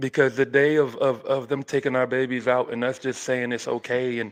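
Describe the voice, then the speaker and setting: Monotone, flat intonation at a moderate pace. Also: man. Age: 40s. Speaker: podcast host. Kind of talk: casual discussion.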